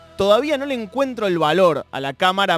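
A man talks at a moderate pace in a very clean recording with a silent background, his sound dry and close with no echo. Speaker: radio host. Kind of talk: casual interview.

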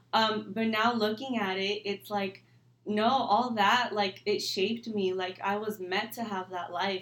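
Here a woman speaks at a fairly slow pace. Her intonation stays fairly even. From California, Mexican-American family. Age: 20s. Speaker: young entrepreneur in financial services. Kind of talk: casual interview chat. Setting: studio.

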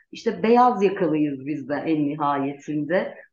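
Audible room echo follows a woman as she speaks at a fairly slow pace. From Turkey, Gaziantep. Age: 40s. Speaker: lawyer and parliamentary candidate. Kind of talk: interview.

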